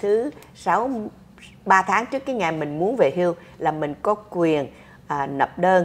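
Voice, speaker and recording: A woman speaks at a fairly slow pace with long, frequent pauses. Her pitch swings very widely. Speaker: social security advisor. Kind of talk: explanatory Q&A answers. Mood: warm, patient. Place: office.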